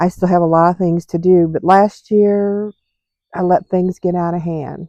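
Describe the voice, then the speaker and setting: With a dark, mellow tone and a fairly low pitch, a woman speaks at a moderate pace in a monotone, flat intonation, the sound dry and close with no echo. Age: 60s. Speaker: vlogger. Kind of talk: casual vlog monologue. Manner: hesitant, many fillers.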